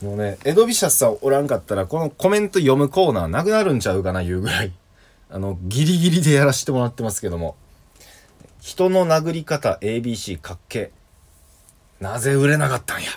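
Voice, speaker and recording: A man talks at a fairly quick pace. His fairly high pitch moves in very wide swings. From Kansai. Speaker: comedian. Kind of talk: solo radio talk. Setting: remote recording.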